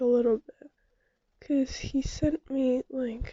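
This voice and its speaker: Here a woman speaks quietly and very slowly. Her pitch is high. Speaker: vlogger. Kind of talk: casual chat.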